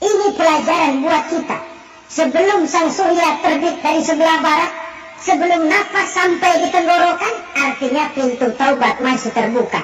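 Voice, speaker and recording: A man does a put-on character voice at a moderate pace against clear background noise. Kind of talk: religious sermon.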